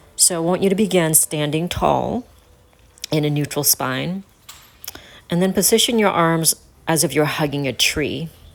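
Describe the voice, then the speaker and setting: Speaking at a moderate pace with long, frequent pauses, a woman with an American accent uses a fairly low pitch, ordinary pitch variation and very even loudness. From United States, North Carolina. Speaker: personal trainer and fitness instructor. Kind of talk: fitness instruction video to camera. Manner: clear, instructive.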